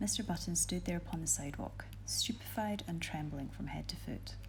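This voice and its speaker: The speaker is soft-spoken, with a Scottish accent. Noticeable background noise runs underneath. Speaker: ASMR reader. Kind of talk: reading aloud.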